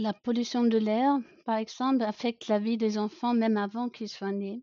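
A woman's fairly high voice at a fairly slow pace. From Germany, rural. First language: German (speaking French). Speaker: pediatrician. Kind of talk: podcast interview.

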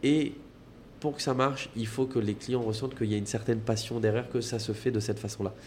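He talks at a very fast pace. The man's medium-pitched voice is somewhat breathy. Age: 20s. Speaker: restaurant entrepreneur. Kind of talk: casual chat. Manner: animated.

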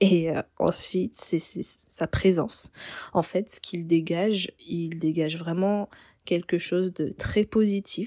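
A woman speaks very slowly with fairly even intonation. The sound is dry and close, with no echo. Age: 20s. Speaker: hotel receptionist. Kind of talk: personal storytelling. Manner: hesitant, with repeated words.

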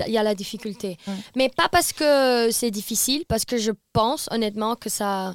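The sound is dry and close with no echo. A woman talks at a moderate pace with a fairly high pitch and ordinary pitch variation. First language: not French (speaking French). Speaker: TikTok influencer and DJ tour manager. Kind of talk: casual chat. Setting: studio, around a table. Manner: halting, mixes in English words.

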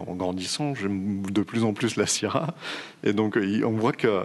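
A man with an unremarkable speaking voice talks at a fairly slow pace, his pitch fairly low. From Provence, southern France. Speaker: wine podcast co-host. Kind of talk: casual chat.

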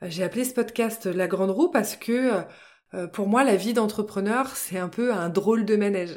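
This woman has an unremarkable speaking voice, fairly high in pitch with ordinary variation. She speaks at a fairly slow pace. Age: 30s. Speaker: podcast host and business coach. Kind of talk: solo podcast monologue. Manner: friendly and relaxed.

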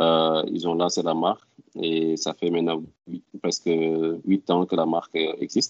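His very deep, low voice moves at a very slow pace, and the man's intonation stays monotone and flat. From Senegal (Ziguinchor and Dakar). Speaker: entrepreneur and NGO founder. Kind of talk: interview testimony.

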